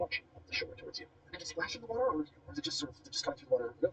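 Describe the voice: The clip is plain reading aloud. It is read straight from a text.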